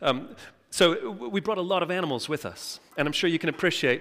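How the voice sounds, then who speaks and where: In a very clean recording with a silent background, a man with an American accent speaks at a very fast pace. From Texas. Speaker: charity director and guest preacher. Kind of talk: sermon. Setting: church service. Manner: halting.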